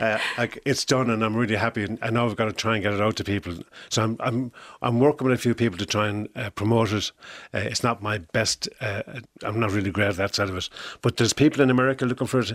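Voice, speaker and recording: A man with an Irish accent talks very fast at a medium pitch with fairly even intonation, on a very clean recording with a silent background and a dry, close sound with no echo. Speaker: musician and songwriter. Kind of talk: interview. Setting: studio.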